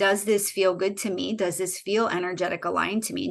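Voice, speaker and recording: There is vocal fry in this woman's voice, which has ordinary pitch variation. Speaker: intuition coach. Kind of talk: webinar presentation.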